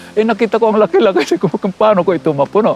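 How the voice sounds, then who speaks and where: Noticeable background noise behind a man talking with ordinary pitch variation. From Philippines. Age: 80s+. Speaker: artist. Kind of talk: interview.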